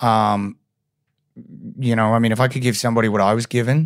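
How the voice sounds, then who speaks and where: This man has an Australian accent and medium pitch, with fairly even intonation. The recording is very clean with a silent background. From Brisbane, Australia. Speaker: actor. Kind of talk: casual chat. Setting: podcast interview.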